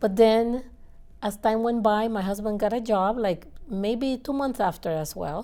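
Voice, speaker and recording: In a Nicaraguan accent, the voice moves at a fairly slow pace with a dark, mellow tone. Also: woman, fairly high pitch for a woman, ordinary pitch variation. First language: Spanish. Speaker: engineer, interview guest. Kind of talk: interview. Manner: halting.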